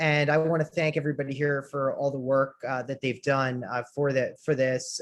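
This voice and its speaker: Monotone, flat intonation in an American accent at a moderate pace. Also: man. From United States. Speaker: trade association president. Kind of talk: conference talk. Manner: halting, many fillers.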